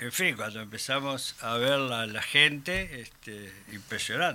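A man with a Uruguayan accent speaks very slowly in a bright, sharp tone at a medium pitch, his intonation lively. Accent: Rioplatense Spanish (Uruguayan). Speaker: human rights activist. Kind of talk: interview. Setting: studio.

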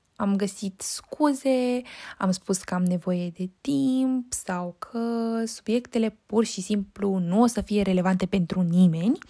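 On a very clean recording with a silent background, a woman speaks at a very slow pace and medium pitch in a somewhat breathy voice with a dark, mellow tone and ordinary pitch variation. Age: 20s. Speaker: podcast host and university student. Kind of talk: solo podcast monologue.

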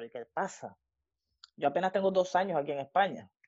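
This woman has an ordinary speaking voice with a fairly low pitch. Her intonation is lively. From Venezuela. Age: 40s. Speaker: student of the course, interviewee. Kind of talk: casual interview, personal testimony.

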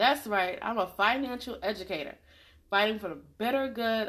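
Against a quiet background, a woman with a plain, everyday voice and a fairly high pitch talks at a fairly quick pace with lively intonation. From New York City, South Jamaica, Queens (military family, moved often). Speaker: podcast host, financial educator. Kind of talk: solo monologue podcast.

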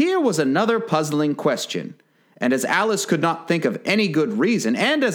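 The recording holds plain reading aloud.

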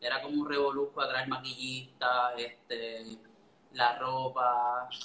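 A man speaks very slowly in a Puerto Rican accent, with monotone, flat intonation. Background noise is noticeable. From Puerto Rico, Orocovis. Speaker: food photographer. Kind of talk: casual live-stream interview. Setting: online live stream.

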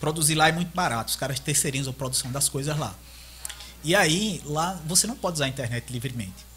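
A man speaks at a very fast pace in a fairly high pitch, with ordinary pitch variation and noticeable background noise. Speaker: 3D modeling artist. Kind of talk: casual chat. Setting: live-streamed podcast.

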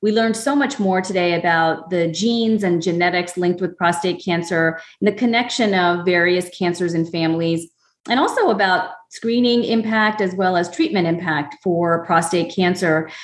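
This woman has an unremarkable speaking voice, fairly low in pitch with ordinary pitch variation. She keeps a moderate pace and very even loudness. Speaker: medical oncologist and podcast co-host. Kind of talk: educational podcast interview.

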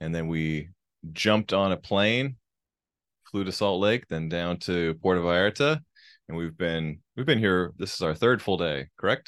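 A man's very deep, low voice at a moderate pace, with ordinary pitch variation, over a quiet background. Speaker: podcast host. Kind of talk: casual chat. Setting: Mexico, recorded while traveling.

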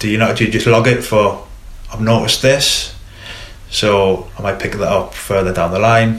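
Speaking at a moderate pace with a Geordie accent, a man is heard with audible room echo and noticeable background noise. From northern England, Newcastle. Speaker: football coach educator. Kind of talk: casual interview. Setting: studio.

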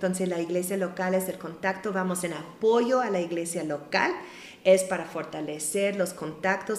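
A woman in an English accent speaks at a moderate pace with a fairly low pitch and ordinary pitch variation, amid noticeable background noise and audible room echo. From US Midwest (Ohio). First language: English (speaking Spanish). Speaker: missionary. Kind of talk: testimony.

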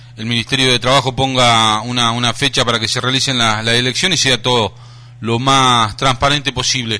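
A man speaks with a Rioplatense accent. His pace is fairly quick. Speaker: radio host. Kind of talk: radio interview. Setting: studio.

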